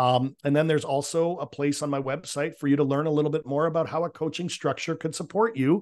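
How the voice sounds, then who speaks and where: Against a quiet background, a man speaks at a fairly quick pace. His pitch is fairly high, with ordinary variation. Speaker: business and real estate coach. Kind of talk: interview. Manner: animated.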